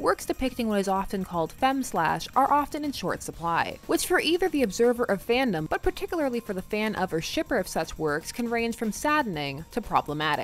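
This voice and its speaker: A fairly high-voiced woman talks fairly quickly with hardly any pauses and very wide pitch swings, in a dry sound with no echo and light background noise. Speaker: fandom video essayist. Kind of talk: video essay narration. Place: home room.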